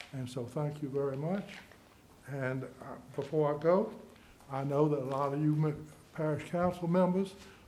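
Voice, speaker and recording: A man at fairly high pitch and a fairly slow pace, with audible room echo. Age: 80s+. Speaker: landowner speaking at public comment. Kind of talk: public comment at council meeting. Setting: council meeting at a microphone. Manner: halting.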